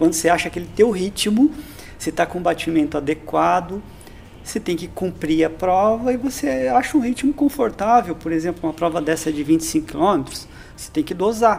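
Lively intonation marks this man's high-pitched voice, heard over noticeable background noise. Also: moderate pace. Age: 50s. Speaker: physical education instructor. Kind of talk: casual interview.

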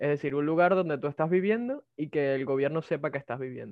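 The man's voice sits fairly high in pitch and varies in an ordinary way. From Venezuela. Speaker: migrant telemarketer and programming student. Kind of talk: casual interview. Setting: video call.

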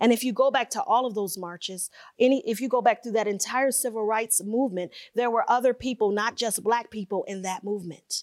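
A woman with a fairly high pitch for a woman, an animated tone, ordinary pitch variation and a moderate pace. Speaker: keynote speaker. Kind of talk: keynote speech. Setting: stage with audience.

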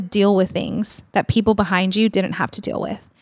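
In an American accent, a woman speaks at a moderate pace in a normal speaking voice of medium pitch with fairly even intonation, recorded very cleanly against a silent background. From small-town Texas. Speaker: speaker and nonprofit ministry leader. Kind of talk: casual interview chat. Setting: studio couch.

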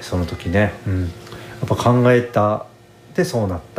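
Over noticeable background noise, a man talks in a relaxed tone at a moderate pace, his fairly low pitch held to fairly even intonation. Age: 30s. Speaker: podcast host, guesthouse owner. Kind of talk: casual solo monologue. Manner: relaxed, rambling with many fillers.

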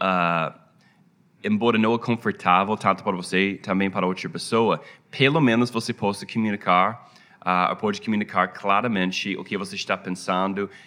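A man with an American accent and a bright, sharp tone talks at a moderate pace, keeping his intonation fairly even. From United States. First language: English (speaking Portuguese). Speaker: pastor. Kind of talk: interview. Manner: halting, many fillers.

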